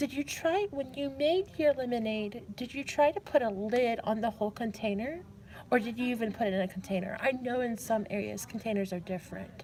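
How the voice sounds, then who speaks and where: A woman speaks at a fairly quick pace and a fairly high pitch, with ordinary pitch variation. She has a plain, everyday voice. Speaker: live streamer playing a call-center role-play game. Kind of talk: live role-play call center operator, casual talk. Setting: public library.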